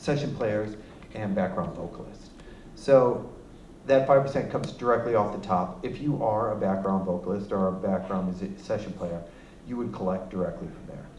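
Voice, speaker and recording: In a room with audible echo, a man with a fairly low pitch shows ordinary pitch variation and big swings in loudness. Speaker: music royalties representative. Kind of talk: presentation to an audience. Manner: fast; halting, many fillers.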